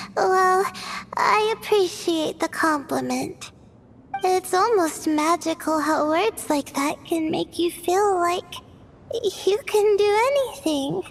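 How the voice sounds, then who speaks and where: A soft-spoken woman does a put-on character voice at a fairly slow pace and very even loudness. Background noise is clearly heard. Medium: fan dub. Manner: soft-spoken, hesitant, stammering.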